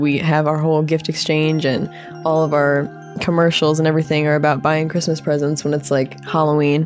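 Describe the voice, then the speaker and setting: Over music in the background, a woman with a very deep, low pitch speaks at a moderate pace. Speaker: podcast host. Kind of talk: casual podcast talk.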